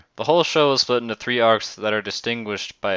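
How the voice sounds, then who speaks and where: A man talking at a very fast pace. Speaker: anime reviewer. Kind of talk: scripted review narration. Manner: occasional stutters.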